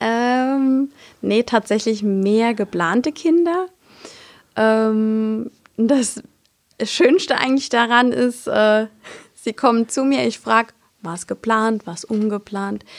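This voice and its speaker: Long pauses arrive frequently in very slowly delivered speech. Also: woman, fairly high pitch for a woman, ordinary pitch variation. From Palatinate, Germany (Kusel). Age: 20s. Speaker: midwife. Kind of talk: casual interview.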